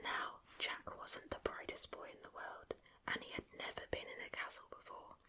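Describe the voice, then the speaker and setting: A woman whispers at a fairly slow pace, with noticeable background noise present. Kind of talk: ASMR bedtime story reading. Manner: whispered, soft, slow.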